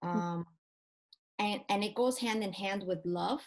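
Someone speaks at a very slow pace with an American accent. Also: woman. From Spain until age eight, then US. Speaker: church ministry leader. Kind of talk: faith-based casual interview.

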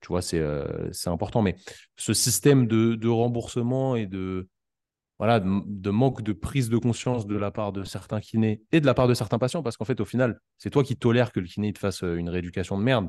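A man's dark, mellow tone, fairly low-pitched, at a fairly quick pace with ordinary pitch variation and a quiet background. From Paris region, France. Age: 20s. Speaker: physiotherapist. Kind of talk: casual interview.

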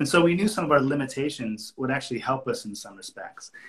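A man with a medium-pitched, somewhat breathy voice talks at a very fast pace with ordinary pitch variation. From North America. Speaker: cinematographer. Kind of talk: interview.

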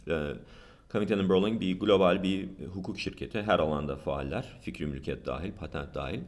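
A man's very deep, low voice with vocal fry. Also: ordinary pitch variation, moderate pace. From United States. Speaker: patent lawyer. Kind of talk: interview.

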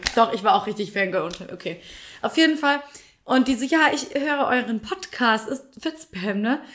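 A woman at a moderate pace, high in pitch, with very wide pitch swings. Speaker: podcast co-host. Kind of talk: casual chat. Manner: talkative.

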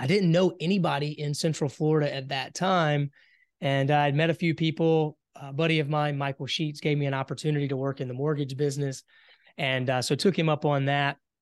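A man with a Southern US accent, fairly high in pitch and fairly quick, with fairly even intonation, a dry, close sound with no echo and a quiet background. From US South, South Carolina. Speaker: entrepreneur. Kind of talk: interview.

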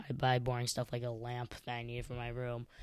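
Against a silent background in a very clean recording, a man with an American accent speaks in a plain, everyday voice at a medium pitch and a moderate pace. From Chicago, US Midwest. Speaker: podcast host. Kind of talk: casual solo podcast monologue.

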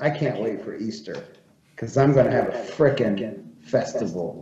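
With an American accent, a man speaks at a fairly slow pace, somewhat breathy, with lively intonation. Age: 30s. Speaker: magazine editor and farmer. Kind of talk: casual chat.

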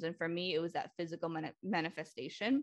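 A woman with an ordinary speaking voice talks at a fairly quick pace. Her pitch is fairly low with ordinary variation, and the background is quiet. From Lynn, Massachusetts, US; Cambodian community. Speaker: therapist. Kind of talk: casual podcast interview.

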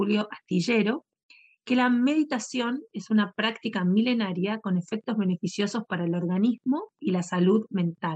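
A woman with a somewhat breathy voice and a medium pitch talks at a moderate pace with ordinary pitch variation, in a dry, close sound with no echo. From Argentina. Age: 40s. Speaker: podcast host, yoga and meditation teacher. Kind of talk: casual talk and guided meditation. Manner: halting; calm, soothing.

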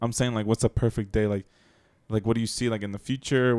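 Very fast and monotone, a man talks at medium pitch in a dark, mellow tone, the sound dry and close with no echo in a very clean recording with a silent background. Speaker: podcast co-host. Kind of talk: casual chat. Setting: at home with kids in background. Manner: talkative.

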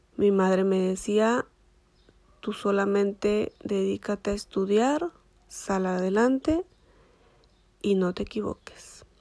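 With a Mexican accent, a woman speaks very slowly in a dark, mellow tone at medium pitch. Her pauses are long and frequent, and her pitch varies in an ordinary way. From Michoacán, Mexico. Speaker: dentist. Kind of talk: personal storytelling monologue. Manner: halting, many fillers.

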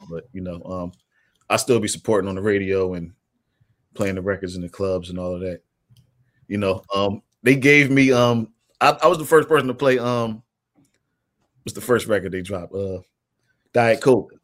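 A man's fairly low voice at a moderate pace, with ordinary pitch variation, long, frequent pauses and big swings in loudness. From West Philadelphia. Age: 40s. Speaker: DJ. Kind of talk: casual chat.

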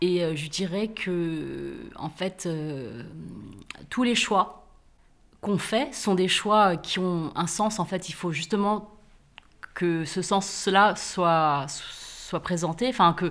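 Here a woman with fairly low pitch talks at a very slow pace. Long, frequent pauses break up her speech. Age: 40s. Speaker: author and podcaster. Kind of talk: casual conversation. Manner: hesitant, many fillers.

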